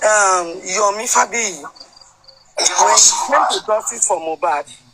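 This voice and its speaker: The words come at a very slow pace while music plays in the background. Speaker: participant in online discussion. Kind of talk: opinion submission in group call.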